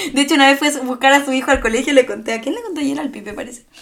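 The woman's voice is high-pitched. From Chile. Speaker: podcast co-host. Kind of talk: casual chat.

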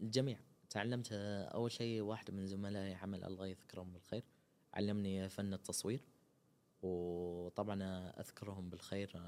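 Speaking at a fairly slow pace, this voice carries a dark, mellow tone and fairly even intonation. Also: man, fairly low pitch for a man. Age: 20s. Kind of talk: interview. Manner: halting, with frequent pauses and fillers.

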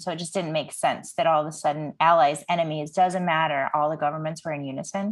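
A woman talks at a very fast pace with ordinary pitch variation over a quiet background. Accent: American. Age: 30s. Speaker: podcast host. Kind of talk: casual chat.

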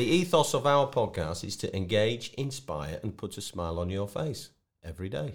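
A man's fairly low voice with very wide pitch swings at a moderate pace, on a very clean recording with a silent background. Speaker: athlete's father and co-host. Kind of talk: casual chat. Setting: studio.

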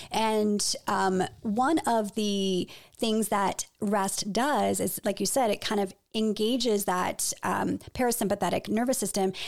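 A woman with a plain, everyday voice speaks at a fairly slow pace and medium pitch, with fairly even intonation, very even loudness and a very clean recording with a silent background. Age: 40s. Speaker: health podcast co-host. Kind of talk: casual chat.

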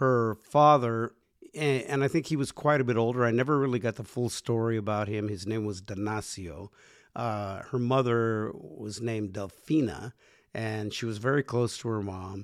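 A plain, everyday voice from a man, medium in pitch, with ordinary pitch variation, a moderate pace and a very clean recording with a silent background. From US, Mexican-American family. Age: 60s. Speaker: podcast co-host. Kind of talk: casual chat.

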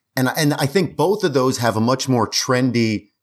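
Lively intonation and a moderate pace from a man with a plain, everyday voice. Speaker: mobile home investor. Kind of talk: casual interview. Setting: video call.

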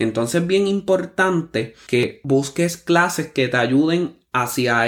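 A man talks at a very slow pace on a very clean recording with a silent background. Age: 30s. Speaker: podcast host, musician. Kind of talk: motivational monologue.

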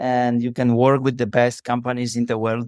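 With a Polish accent, a man talks in a dry, close sound that has no echo. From Poland. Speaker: tech company CEO. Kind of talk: interview. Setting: remote call.

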